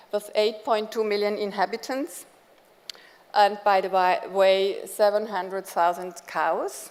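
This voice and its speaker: Speaking with a German accent, a woman at a medium pitch moves at a fairly slow pace with ordinary pitch variation. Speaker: education institute director. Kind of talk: conference keynote speech. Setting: conference stage with audience.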